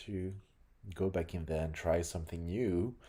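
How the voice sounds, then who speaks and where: With a French accent and a dark, mellow tone, a man speaks at a fairly slow pace in a very deep, low pitch, captured on a very clean recording with a silent background. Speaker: game developer. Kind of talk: reading aloud. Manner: halting.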